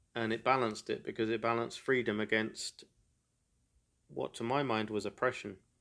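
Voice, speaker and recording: A man with an English accent speaks at a medium pitch and a fairly quick pace. His intonation is monotone and flat, broken by long, frequent pauses. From England. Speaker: podcaster. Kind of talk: solo monologue.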